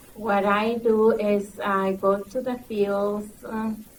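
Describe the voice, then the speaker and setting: Over noticeable background noise and audible room echo, a woman speaks at a medium pitch in a monotone, flat way. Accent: strong Mexican. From Mexico. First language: Spanish. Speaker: migrant program recruiter. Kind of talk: panel discussion. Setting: conference panel with audience.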